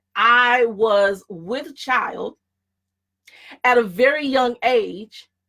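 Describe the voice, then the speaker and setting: Her tone is bright and sharp, with a high pitch and lively intonation. The woman speaks at a very slow pace. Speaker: career coach. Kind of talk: presentation. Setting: online broadcast.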